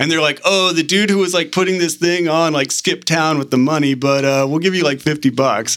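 A man with an American accent speaks in a normal speaking voice at a fairly high pitch, with ordinary pitch variation and very even loudness. He moves at a fairly quick pace with hardly any pauses. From Northern California (Arcata/Manila area). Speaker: hip hop artist. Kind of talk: casual interview. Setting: studio.

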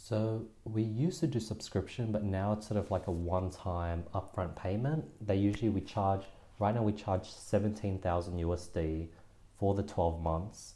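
A man talks in a dark, mellow tone that is somewhat breathy. His loudness stays very even. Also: fairly low pitch for a man, ordinary pitch variation, moderate pace. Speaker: podcast host and online education founder. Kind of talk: casual interview chat.

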